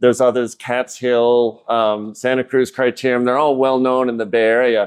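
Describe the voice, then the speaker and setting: A man talks at a moderate pace. He has a normal speaking voice. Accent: American. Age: 60s. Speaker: amateur cyclist. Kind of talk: podcast interview.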